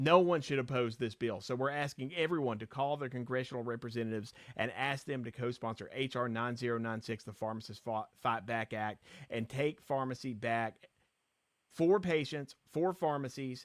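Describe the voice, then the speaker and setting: With a Virginia accent, a man talks at a moderate pace and medium pitch, with ordinary pitch variation. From southwestern Virginia. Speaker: pharmacist advocate, live stream host. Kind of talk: live stream advocacy talk. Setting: live stream. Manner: animated.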